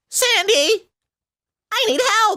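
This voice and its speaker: A man puts on a squeaky character voice at an extremely high pitch. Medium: game stream.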